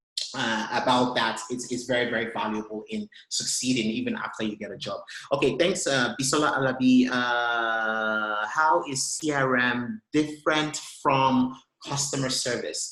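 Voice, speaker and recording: A man with a Nigerian accent and medium pitch talks at a moderate pace with ordinary pitch variation amid audible room echo. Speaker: tech consultant. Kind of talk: webinar talk and Q&A. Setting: online webinar. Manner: halting, many repetitions and fillers.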